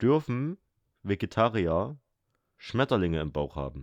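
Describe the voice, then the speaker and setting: A man speaks at a very slow pace in a very deep, low pitch with very wide pitch swings, the sound dry and close with no echo against a quiet background. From Saxony, Erzgebirge. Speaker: podcast co-host. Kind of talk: casual chat.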